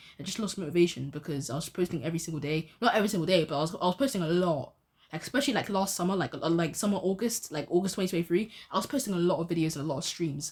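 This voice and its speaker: A woman's fairly low, somewhat breathy voice at a very fast pace with hardly any pauses. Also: ordinary pitch variation. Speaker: youtuber and amateur boxer. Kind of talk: casual vlog monologue. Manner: halting, repetitive.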